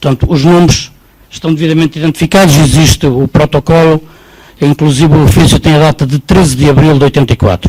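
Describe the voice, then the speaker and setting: This man has an ordinary speaking voice, a fairly high pitch with ordinary pitch variation, and a fairly quick pace. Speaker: audience member at public debate. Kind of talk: public debate question.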